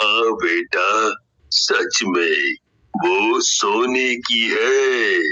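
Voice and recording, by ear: A man speaks at a very slow pace in a cartoonish character voice.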